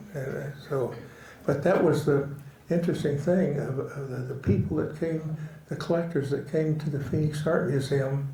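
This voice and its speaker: A man speaks at a moderate pace with fairly even intonation and a fairly high pitch. Noticeable background noise and audible room echo are present. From Oklahoma. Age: 80s+. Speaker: western artist. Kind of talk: casual interview conversation. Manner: halting, with many fillers and repetitions.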